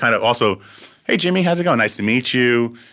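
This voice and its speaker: In a very clean recording with a silent background, a man with a New York accent speaks in a bright, sharp tone. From Long Island, New York (Syosset). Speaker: record producer and music supervisor. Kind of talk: casual chat. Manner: fast.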